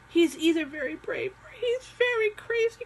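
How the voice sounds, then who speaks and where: A woman puts on a squeaky character voice at an extremely high pitch. Her pace is moderate. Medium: read story. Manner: growling.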